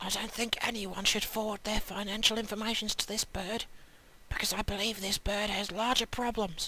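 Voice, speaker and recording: Over noticeable background noise, a woman whispers at a moderate pace. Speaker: online video reviewer. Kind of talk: deadpan review. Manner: whispering; deadpan.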